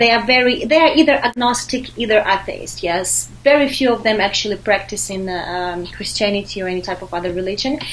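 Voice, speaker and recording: Over noticeable background noise, a woman of medium pitch talks at a fairly quick pace with hardly any pauses. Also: ordinary pitch variation. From Ukraine, Kyiv. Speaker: expat living in Paris. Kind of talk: casual chat.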